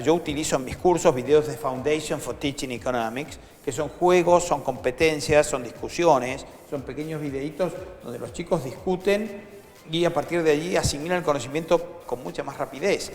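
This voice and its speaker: Someone with a Rioplatense accent speaks at a moderate pace with ordinary pitch variation against noticeable background noise. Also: man, fairly high pitch for a man. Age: 60s. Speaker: economist and nonprofit founder. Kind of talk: interview.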